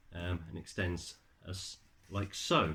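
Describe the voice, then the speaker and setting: With a British accent, a man mumbles at a fairly slow pace in a very deep, low, somewhat breathy voice, on a very clean recording with a silent background. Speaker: tech reviewer. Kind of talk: product review. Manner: mumbling; halting, many fillers.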